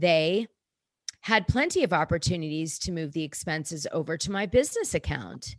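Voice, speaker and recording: Her tone is animated, her pitch fairly low for a woman. She keeps a moderate pace with ordinary pitch variation. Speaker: podcast host. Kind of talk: casual chat.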